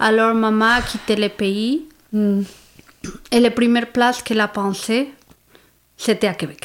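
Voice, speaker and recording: A woman with a fairly high pitch talks at a fairly slow pace with fairly even intonation and long, frequent pauses. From Mexico. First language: Spanish (speaking French). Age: 40s. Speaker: psychosocial worker. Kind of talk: interview. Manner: halting.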